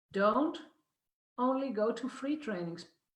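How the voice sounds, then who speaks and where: A somewhat breathy woman with a Dutch accent, at a fairly slow pace with lively intonation. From Netherlands. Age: 50s. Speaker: business coach. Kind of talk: video talk to online audience.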